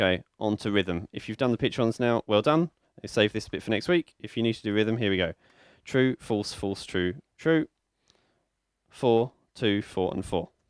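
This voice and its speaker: A man speaks with a British accent and a fairly low pitch. His intonation is lively, broken by long, frequent pauses. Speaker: music teacher. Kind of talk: tutorial. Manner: fast.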